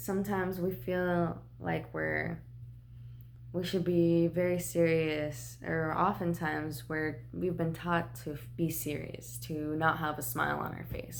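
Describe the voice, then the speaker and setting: A woman's voice with audible echo from the room. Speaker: tarot card reader. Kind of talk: tarot reading vlog. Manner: casual, relaxed.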